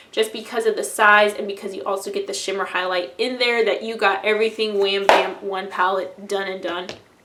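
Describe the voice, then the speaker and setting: A woman's fairly quick delivery comes through noticeable background noise. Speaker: beauty vlogger. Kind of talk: casual product review monologue. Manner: fast; animated.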